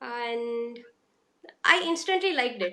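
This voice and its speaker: In an Indian accent, a woman speaks at a very slow pace in a raised, projected voice. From India, Karnataka (Hubballi). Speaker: stay-at-home mum, program participant. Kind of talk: interview testimony. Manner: halting, many fillers.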